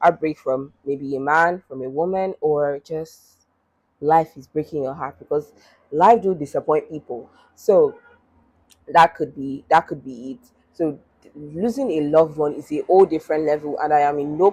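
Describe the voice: The woman's voice is low in pitch, with a slightly mellow tone and a slightly husky edge. She keeps a moderate pace and ordinary pitch variation.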